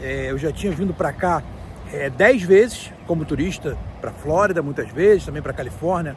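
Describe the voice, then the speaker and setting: Noticeable background noise sits under this recording. A man speaks at a high pitch and a moderate pace. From Brazil, Rio de Janeiro. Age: 40s. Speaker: vlogger. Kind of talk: casual vlog talk to camera. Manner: hesitant, many fillers.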